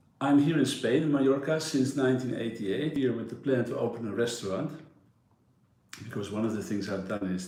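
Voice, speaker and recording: Amid audible room echo, a man with a Dutch accent talks at a fairly quick pace and medium pitch. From Netherlands, Amersfoort. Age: 60s. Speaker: yacht broker. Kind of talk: interview.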